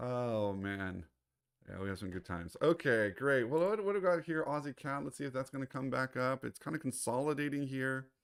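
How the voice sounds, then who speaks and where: A man speaks in a medium pitch at a moderate pace. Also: very clean recording, silent background. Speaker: trading educator. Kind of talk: livestream trading commentary. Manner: hesitant, many fillers.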